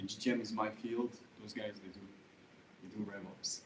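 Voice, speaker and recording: A fairly low-pitched man's voice with a French accent. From France. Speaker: go-to-market consultant. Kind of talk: panel introduction at meetup. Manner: hesitant, many fillers.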